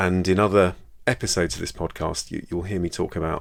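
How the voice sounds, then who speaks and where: Speaking with a British accent, a man has a very deep, low pitch and ordinary pitch variation on a very clean recording with a silent background. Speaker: GP and podcast host. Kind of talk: solo educational podcast. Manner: fast; casual, hesitant repetitions.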